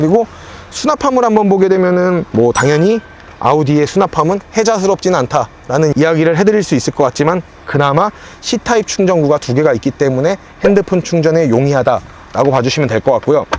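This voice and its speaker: A man's fairly high-pitched voice, lively in intonation and very even in loudness, at a fairly quick pace over noticeable background noise. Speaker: car leasing salesperson and video host. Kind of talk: car review walkthrough. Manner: fast.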